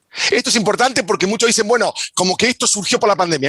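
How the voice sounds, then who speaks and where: In a dry, close sound with no echo, a man talks at a high pitch. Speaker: sociologist. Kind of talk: panel talk. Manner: fast.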